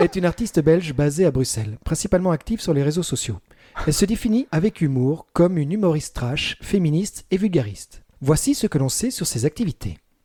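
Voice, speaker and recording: A man puts on a robotic character voice, fairly high in pitch with very wide pitch swings, at a fairly quick pace in a dry, close sound with no echo. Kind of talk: informational reading.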